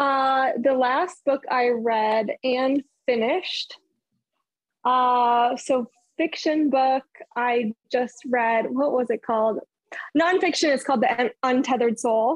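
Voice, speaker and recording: Speaking at a very slow pace, a woman holds a high pitch with ordinary pitch variation. Her loudness stays very even, and the sound is dry and close with no echo. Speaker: professional golfer. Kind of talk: casual chat.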